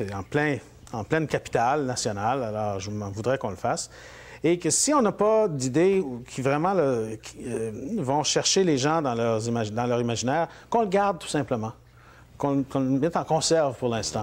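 A man's lively intonation comes through as he speaks at a moderate pace. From northern Ontario, Mattawa (Franco-Ontarian); Ontario. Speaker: politician. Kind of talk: interview. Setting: at his home. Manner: hesitant, many fillers. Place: studio. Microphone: lapel.

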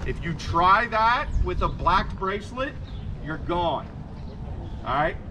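A man speaks over noticeable background noise. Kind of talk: announcement to crowd. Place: street. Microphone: camera far.

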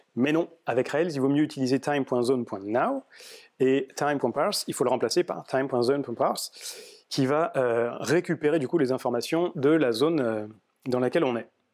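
A man's moderate pace and ordinary pitch variation stand out over a quiet background. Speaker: software developer giving a meetup talk; conference speaker. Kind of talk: tech talk. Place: meeting room.

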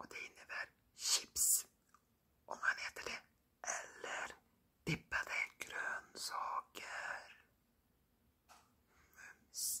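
A man is speaking. He whispers throughout. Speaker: vlogger. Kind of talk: ASMR talk to camera. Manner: whispered. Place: home room. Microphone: phone near.

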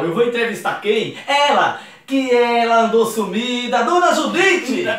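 A man speaks at an extremely high pitch. Audible room echo surrounds his voice. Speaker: comedic actor. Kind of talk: casual talk to camera. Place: home room.

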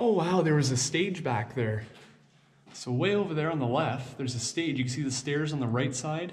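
In a room with audible echo and light background noise, a man speaks at a moderate pace. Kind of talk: exploration commentary. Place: hall. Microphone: phone near.

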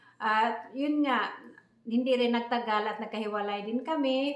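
The speech comes at a moderate pace with ordinary pitch variation. Room echo is audible, and background noise is noticeable. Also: woman. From Philippines, Visayas province. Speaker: vlogger. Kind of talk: personal storytelling vlog. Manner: halting, many fillers.

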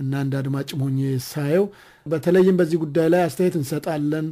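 Somewhat breathy, this voice carries a dark, mellow tone. Pitch rises and falls in a normal way. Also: man. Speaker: radio host. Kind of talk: radio interview. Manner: formal.

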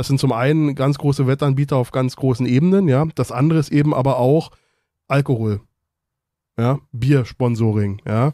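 Medium in pitch, a man speaks in a dark, mellow tone with ordinary pitch variation and very even loudness at a moderate pace. The recording is very clean, with a silent background. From Berlin and Brandenburg. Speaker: football fan panelist. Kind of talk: casual chat. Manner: hesitant.

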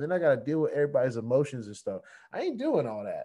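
Against a quiet background, a man talks at a very fast pace, his fairly high-pitched voice dark and mellow in tone. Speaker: crypto YouTuber. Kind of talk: casual vlog rant. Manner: fired-up, emphatic. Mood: irritated, defiant. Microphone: webcam.

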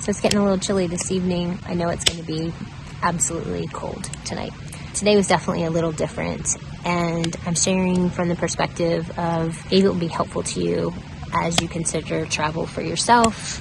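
A woman speaks at a fairly quick clip in a monotone, flat delivery, her fairly low voice dry and echo-free against noticeable background noise. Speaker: travel vlogger. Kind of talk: casual vlog chat. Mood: subdued, a bit unsettled. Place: open country. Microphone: phone near.

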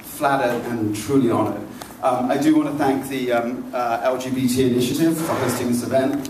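A man at a fairly quick pace with fairly even intonation, audible room echo and light background noise. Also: medium pitch for a man. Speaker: magazine editor. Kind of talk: event introduction and moderation. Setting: public event at a library. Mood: light, anecdotal. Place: hall.

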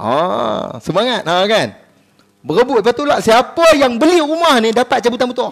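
Against a quiet background, a man with an extremely high pitch speaks at a moderate pace in an animated tone. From Kedah, Malaysia. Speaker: religious preacher; religious teacher. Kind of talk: sermon. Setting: mosque prayer hall with congregation. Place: hall. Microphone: headset.

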